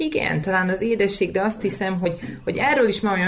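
A woman talks while noticeable noise sits in the background. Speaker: young parent. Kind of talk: interview.

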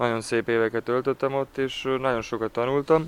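Recorded with a dry, close sound and no echo, a man talks with fairly even intonation. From Ada, Vojvodina, Serbia. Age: 20s. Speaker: handball player. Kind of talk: interview. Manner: halting, repeats words.

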